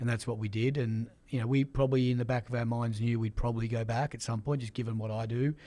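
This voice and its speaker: With an Australian accent and a dark, mellow tone, a man rushes along at a very fast pace with hardly any pauses, monotone and flat, on a very clean recording with a silent background. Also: medium pitch for a man. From Australia, Sydney. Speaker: sports executive. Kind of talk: interview.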